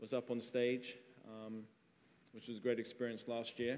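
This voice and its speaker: Speaking at a fairly quick pace, a man with an English accent keeps his pitch at medium. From England. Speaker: tech company CEO, panel moderator. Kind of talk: conference panel talk.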